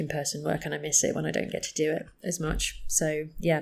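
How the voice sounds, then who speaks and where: With a British accent, a woman speaks at a moderate pace in a very deep, low voice. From UK. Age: 30s. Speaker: psychotherapist. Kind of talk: interview conversation.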